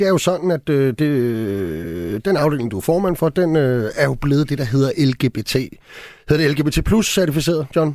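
This man has an ordinary speaking voice, fairly high in pitch, with lively intonation, very even loudness and a fairly slow pace, recorded dry and close with no echo in a very clean recording with a silent background. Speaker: radio host. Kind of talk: radio interview. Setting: studio.

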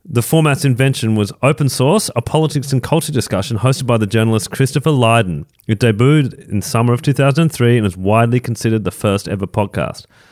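A man with an Australian accent at a very fast pace, hardly any pauses, very even loudness, and a dry, close sound with no echo. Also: medium pitch for a man, ordinary pitch variation. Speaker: podcast co-host. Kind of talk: casual chat. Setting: studio.

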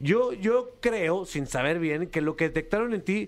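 A man speaks in a plain, everyday voice on a very clean recording with a silent background. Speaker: radio host. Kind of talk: casual banter. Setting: radio studio.

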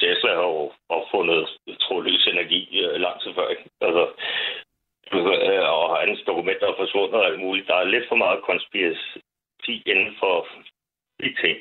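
A man speaks at a fairly slow pace with very even loudness and long, frequent pauses. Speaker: caller. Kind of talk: casual chat. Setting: phone call.

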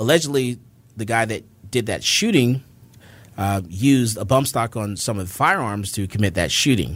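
In a very clean recording with a silent background, a man with an American accent and an unremarkable speaking voice talks at a moderate pace, his fairly low pitch moving with ordinary variation. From Florida, Fort Lauderdale. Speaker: gun store owner and firearms instructor. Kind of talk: interview.

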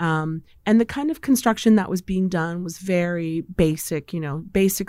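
With a normal speaking voice, a woman talks at a moderate pace in a fairly low pitch with ordinary pitch variation, on a very clean recording with a silent background. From Poland, moved to US at age eight. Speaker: culinary events director. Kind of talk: interview.

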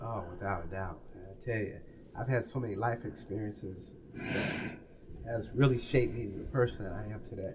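Over noticeable background noise and with audible room echo, a man speaks in a fairly low pitch with fairly even intonation. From US Midwest, Peoria, Illinois. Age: 60s. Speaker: author. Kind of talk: interview.

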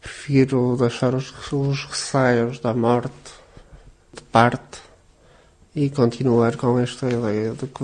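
Speaking very slowly, a man keeps a monotone, flat intonation at a medium pitch. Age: 40s. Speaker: patient with cystic fibrosis, factory worker. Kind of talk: interview testimony.

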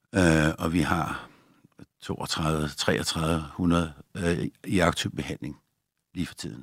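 A man's very deep, low voice with vocal fry and ordinary pitch variation, very slow, with long, frequent pauses. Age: 60s. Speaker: doctor. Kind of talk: interview.

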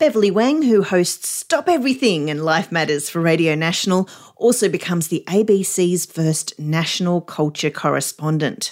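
This woman has a plain, everyday voice, pitched fairly low, moving at a moderate pace with lively intonation and hardly any pauses, on a very clean recording with a silent background. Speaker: radio news presenter. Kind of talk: news bulletin, scripted news reading. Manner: brisk, clear, even and businesslike.

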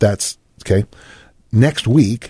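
Somewhat breathy, a man speaks in a dark, mellow tone with ordinary pitch variation, the sound dry and close with no echo and the background quiet. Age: 60s. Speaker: strength coach and fitness author. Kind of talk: casual interview.

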